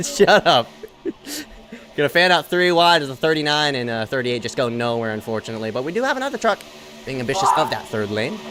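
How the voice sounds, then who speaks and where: A very fast, fairly high-pitched male voice with lively intonation and noticeable background noise. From Philippines. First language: not English. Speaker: sim racing commentator. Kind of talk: live commentary. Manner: animated.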